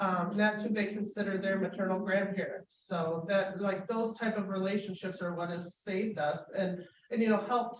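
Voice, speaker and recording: Here a woman speaks at medium pitch with fairly even intonation. Her pace is moderate. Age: 40s. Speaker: public forum speaker sharing life story. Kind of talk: personal testimony. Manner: halting, with many fillers.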